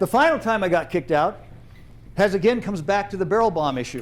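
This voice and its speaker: A high-pitched man with an American accent, lively intonation and a fairly quick pace. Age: 70s. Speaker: storyteller, retired trainer. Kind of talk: personal storytelling performance. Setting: theater stage with audience. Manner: animated.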